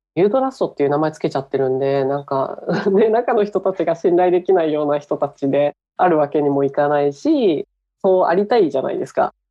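A woman speaks with very wide pitch swings. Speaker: startup founder and CEO. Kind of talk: interview.

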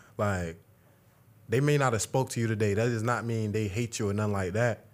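A man speaks at a fairly low pitch with ordinary pitch variation. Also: fairly quick pace.

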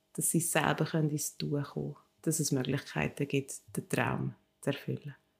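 A woman speaks at a moderate pace. Her loudness swings a lot. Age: 40s. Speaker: co-founder of a community funding project. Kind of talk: interview. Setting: in the organisation's office in Zurich.

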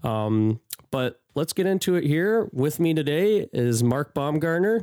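A man's fairly high voice has a dark, mellow tone and very wide pitch swings, delivered at a fairly slow pace. The sound is dry and close with no echo, and the loudness stays very even. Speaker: podcast host. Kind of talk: casual chat. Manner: hesitant, many fillers.

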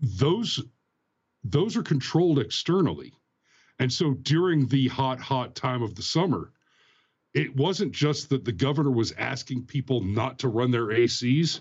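This man has a somewhat breathy voice at medium pitch, moving at a fairly slow pace with lively intonation. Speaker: guest commentator. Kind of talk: casual live-streamed political commentary. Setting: live stream, video call.

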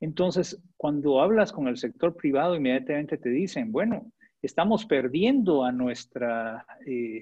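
The speaker is a man with a fairly high pitch. He talks at a fairly slow pace with lively intonation. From Guatemala. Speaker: development agency director. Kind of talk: interview. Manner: hesitant, many fillers.

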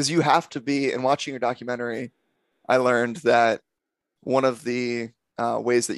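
A man's unremarkable speaking voice at a moderate pace and medium pitch, with fairly even intonation and a dry, close sound with no echo. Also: quiet background. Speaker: podcast host. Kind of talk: casual interview chat.

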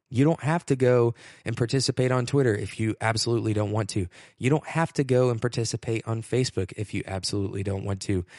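Over a quiet background, a man talks very fast at a medium pitch with ordinary pitch variation. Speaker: podcast host. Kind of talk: solo podcast monologue.

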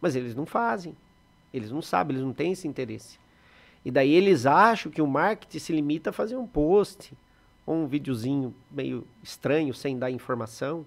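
An ordinary speaking voice from a man, fairly high in pitch, with lively intonation. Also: moderate pace. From Brazil, Sorocaba (São Paulo state). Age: 40s. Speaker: photographer and videographer, production company owner. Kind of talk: podcast interview.

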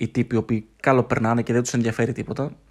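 A man speaking at a very fast pace in a flat monotone, on a very clean recording with a silent background. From Greece, Thessaloniki. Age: 30s. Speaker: podcast host. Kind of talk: solo podcast monologue. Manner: unscripted, halting with fillers.

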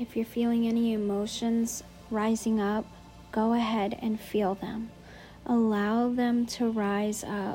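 Music plays in the background as a soothing, calm voice speaks very slowly in a monotone, flat intonation. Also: woman. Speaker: podcast host and meditation guide. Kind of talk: guided meditation. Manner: slow, soothing, calm; gentle, instructive.

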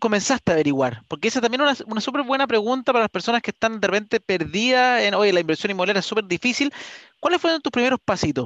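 A man's energetic, high voice at a very fast pace, with lively intonation and a dry, close sound with no echo. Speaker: real estate podcast host. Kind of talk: interview.

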